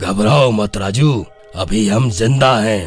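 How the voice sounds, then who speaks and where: A man does a cartoonish character voice, fairly low in pitch. He speaks at a fairly slow pace over faint music in the background. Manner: calm.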